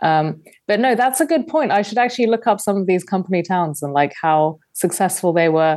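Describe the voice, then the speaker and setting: Over a quiet background, a woman with a London accent speaks at a fairly quick pace with hardly any pauses, her medium pitch making very wide swings. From London, England. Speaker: investigative journalist and podcaster. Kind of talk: casual interview chat. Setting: video call.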